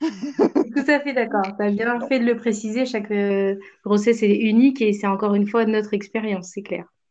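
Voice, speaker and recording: A woman speaks in a normal speaking voice, fairly high in pitch. Her pitch variation is ordinary and her pace moderate. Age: 30s. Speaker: stay-at-home mother of twins. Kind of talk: casual chat.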